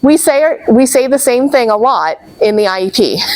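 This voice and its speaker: Lively intonation from a woman at a fairly slow pace, over noticeable background noise. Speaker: special education trainer. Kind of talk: training presentation.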